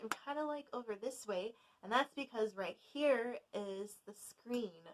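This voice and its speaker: A woman speaks loudly at a fairly slow pace. Her pitch is high, with ordinary variation. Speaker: knitting youtuber. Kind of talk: casual knit-along chat. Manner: projecting loudly; sometimes mumbling, jumbles words.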